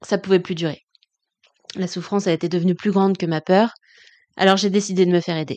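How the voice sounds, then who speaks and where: In a quiet background with a dry, close sound and no echo, a woman of medium pitch speaks at a fairly quick pace with fairly even intonation and long, frequent pauses. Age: 30s. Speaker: podcast host and coach. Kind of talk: personal monologue.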